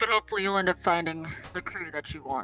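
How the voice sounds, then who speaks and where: A woman puts on a character voice, fairly low in pitch with ordinary pitch variation, talking very fast with big swings in loudness. The sound is dry and close with no echo, and faint music plays in the background. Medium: actual play. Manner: earnest, plain-spoken.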